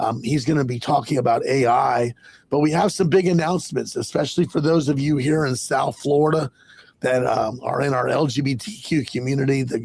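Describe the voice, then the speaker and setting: A man talks at a fairly quick pace in a fairly high, somewhat breathy voice. His pitch varies in an ordinary way. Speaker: podcast host and magazine publisher. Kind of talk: casual podcast intro.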